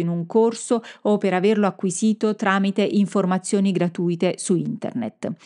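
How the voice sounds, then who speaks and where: At a fairly slow pace, a woman speaks at a medium pitch with ordinary pitch variation. The background is quiet, and the sound is dry and close with no echo. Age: 50s. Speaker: communication and marketing coach for professionals. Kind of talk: solo podcast monologue. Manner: hesitant, with filler sounds.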